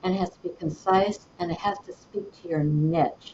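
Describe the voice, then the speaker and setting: A woman speaks at a fairly low pitch in a somewhat breathy voice. She moves at a fairly slow pace with ordinary pitch variation. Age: 70s. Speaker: holistic coach and business founder. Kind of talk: podcast interview. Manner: conversational with frequent fillers.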